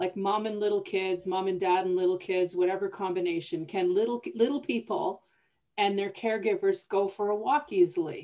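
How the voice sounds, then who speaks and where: A woman's medium-pitched, a normal speaking voice with a Canadian accent, ordinary pitch variation and a moderate pace. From northern Alberta, Canada. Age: 50s. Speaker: podcast host and city planner. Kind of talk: casual conversation. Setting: video call.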